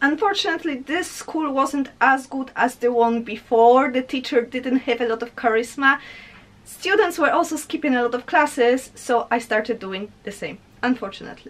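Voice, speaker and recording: A woman speaks at a moderate pace in a high voice with a strong Polish accent and ordinary pitch variation. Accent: heavy Polish. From Poland. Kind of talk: casual talk to camera.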